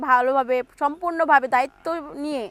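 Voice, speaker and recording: In a dry, close recording with no echo, a woman speaks at a high pitch with ordinary pitch variation. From Bangladesh, Narail. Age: 20s. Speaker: garment factory worker. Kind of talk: interview.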